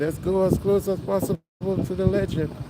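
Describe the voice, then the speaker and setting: Noticeable background noise surrounds the voice. A man speaks with a high pitch. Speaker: live streamer. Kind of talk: live street vlog. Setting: outdoors. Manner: repetitive, energetic.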